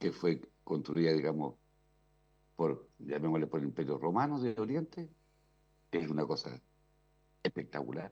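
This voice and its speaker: This man has a very deep, low voice with vocal fry and a dark, mellow tone, delivered at a moderate pace with lively intonation and very even loudness. He leaves long, frequent pauses. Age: 60s. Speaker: radio commentator. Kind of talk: casual chat.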